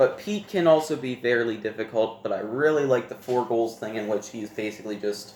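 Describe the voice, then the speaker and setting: Here a man talks at a medium pitch and a moderate pace. His pitch variation is ordinary. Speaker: board game youtuber. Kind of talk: casual ranking monologue. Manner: hesitant, with fillers and self-corrections.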